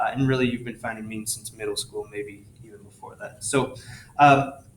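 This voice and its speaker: A man's monotone voice with flat intonation, big swings in loudness, and noticeable background noise. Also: medium pitch for a man, moderate pace. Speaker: high school statistics teacher. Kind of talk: tutorial.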